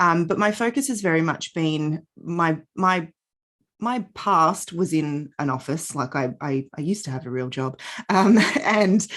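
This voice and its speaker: A woman with an Australian accent speaks at a fairly slow pace, her voice fairly low in pitch. Her intonation is lively, and the background is quiet. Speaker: yoga and Pilates teacher. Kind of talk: podcast interview. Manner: hesitant, many fillers.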